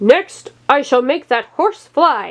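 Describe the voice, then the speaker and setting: In a put-on character voice, a high-pitched woman swings her pitch very widely. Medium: read story. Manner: imperious.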